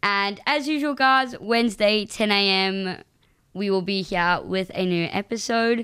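On a very clean recording with a silent background, a woman speaks at a fairly slow pace in a bright, sharp tone, with a medium pitch and ordinary pitch variation. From South Africa. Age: young. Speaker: student podcast co-host. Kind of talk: casual chat. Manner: animated.

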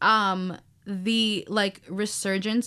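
Her voice has a bright, sharp tone, and this woman speaks at a medium pitch. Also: very clean recording, silent background. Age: 20s. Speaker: student podcast co-host. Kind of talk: casual chat. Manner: filler-heavy, lots of um and like.

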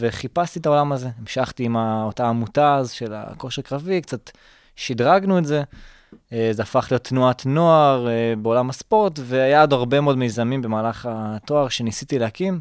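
This recording is very clean, with a silent background. A man uses a normal speaking voice at a moderate pace, with medium pitch and ordinary pitch variation. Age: 20s. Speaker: startup founder and student. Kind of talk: interview.

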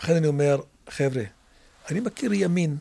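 A man speaks with an Arabic accent. His pace is moderate. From Israel, Druze community (Carmel). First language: Arabic (speaking Hebrew). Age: 70s. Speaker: local council head. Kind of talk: interview. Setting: studio.

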